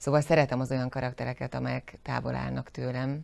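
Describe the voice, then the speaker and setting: A woman is speaking here. Her voice is very deep and low in pitch. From southern Slovakia, Zselíz (Želiezovce), Hungarian minority; southern Slovakia. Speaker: actress. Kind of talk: interview. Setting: studio. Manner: halting, many repeated words. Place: studio.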